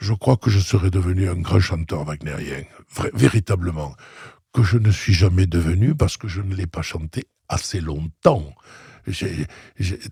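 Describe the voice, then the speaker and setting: The man's voice is dark and mellow, somewhat breathy, and heard in a dry, close sound with no echo. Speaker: opera singer. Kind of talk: interview answer. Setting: studio.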